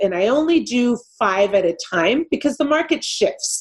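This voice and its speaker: A woman with a Californian accent speaks with lively intonation. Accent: Californian American English. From Los Angeles, California. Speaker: real estate investor. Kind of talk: interview.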